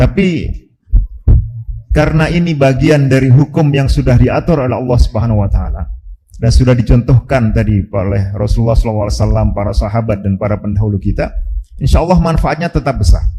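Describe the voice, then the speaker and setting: Talking at a very fast pace, a man with a medium pitch uses lively intonation. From Java, Indonesia. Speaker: Islamic preacher. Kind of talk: religious lecture. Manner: hesitant with frequent fillers.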